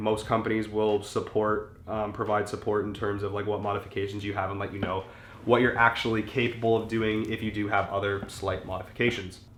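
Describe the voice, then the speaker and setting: Male speech with clearly audible room reverb and a fair amount of background noise. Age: 20s. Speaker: car enthusiast YouTuber. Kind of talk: casual tutorial. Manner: casual, filler-heavy.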